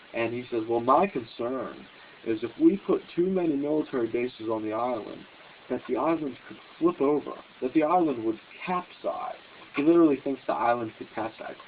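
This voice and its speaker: A man talks at a fairly quick pace with a medium pitch and ordinary pitch variation, over noticeable background noise. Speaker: political commentary host. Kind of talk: casual talk to camera. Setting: phone camera recording.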